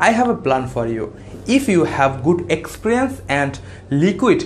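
Speaking fairly slowly, a man talks with a non-native accent. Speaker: finance channel creator. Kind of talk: scripted tutorial. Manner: formal.

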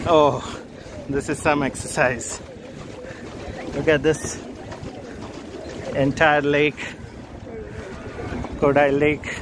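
With noticeable background noise but a dry sound with no echo, a man speaks at a very slow pace in a monotone, flat intonation, leaving long, frequent pauses. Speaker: travel vlogger. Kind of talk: casual vlog chat. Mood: playful, teasing. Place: boat. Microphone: phone near.

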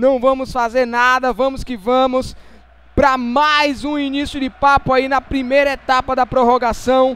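In a very clean recording with a silent background, a man with an extremely high pitch speaks at a fairly slow pace in a monotone, flat intonation. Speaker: gaming YouTuber. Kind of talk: gameplay commentary.

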